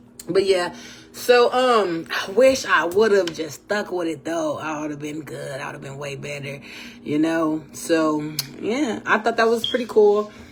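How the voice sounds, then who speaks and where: Against noticeable background noise, a woman speaks at a fairly slow pace in an animated tone with very wide pitch swings. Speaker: podcast host. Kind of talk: casual monologue.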